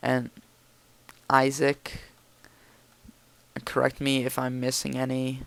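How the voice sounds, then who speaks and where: Over noticeable background noise, a man mumbles at a fairly slow pace. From Hungarian family. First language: Hungarian. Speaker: gaming commentator. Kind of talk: gameplay commentary. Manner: mumbling; halting.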